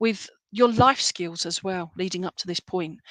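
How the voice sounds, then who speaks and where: With an English accent, a woman talks at a fairly slow pace and ordinary pitch variation, the sound dry and close with no echo. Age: 50s. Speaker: psychic medium. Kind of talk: live reading to online viewers. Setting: live stream. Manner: hesitant, many fillers.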